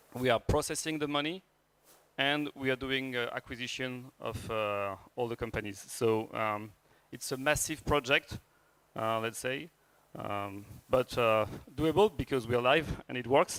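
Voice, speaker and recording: A man with a French accent talks at a medium pitch and a fairly slow pace. The sound is dry and close, with no echo. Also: ordinary pitch variation. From France. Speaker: startup founder and CEO. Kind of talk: startup pitch. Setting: stage with audience. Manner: hesitant, many fillers.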